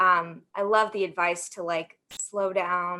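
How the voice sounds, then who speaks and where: A woman with an American accent talks at a very slow pace and a medium pitch. Her tone is bright and sharp, her intonation monotone and flat. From US South, Alabama. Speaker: sports marketing professional. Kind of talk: panel discussion.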